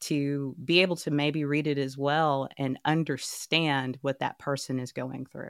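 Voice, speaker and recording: A woman with a Texas accent speaks at a very deep, low pitch and a fairly slow pace, with hardly any pauses and a monotone, flat intonation. The sound is dry and close with no echo, on a very clean recording with a silent background. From Texas, Dallas. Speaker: author and journalist. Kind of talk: interview.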